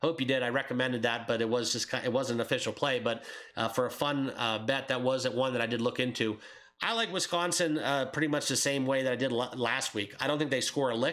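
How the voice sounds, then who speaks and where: Very fast speech holds a very even loudness and fairly even intonation. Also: man, medium pitch for a man. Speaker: sports betting YouTuber. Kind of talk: casual sports betting picks monologue. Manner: hesitant, many fillers (uh, um).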